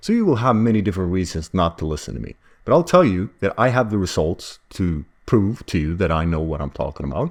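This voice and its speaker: Very fast male speech, fairly low in pitch, with lively intonation and a non-native accent. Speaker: self-publishing business coach. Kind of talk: tutorial. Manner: animated.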